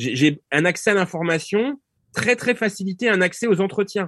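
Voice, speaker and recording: A man with lively intonation, a dry, close sound without echo, and a quiet background. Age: 50s. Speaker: political science professor. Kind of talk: interview. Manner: halting.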